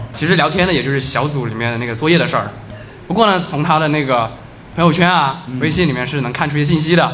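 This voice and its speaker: A man's fairly high voice at a very fast pace, with ordinary pitch variation, audible room echo and noticeable background noise. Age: 20s. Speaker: storyteller at live story event. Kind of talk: storytelling to live audience. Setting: stage with audience.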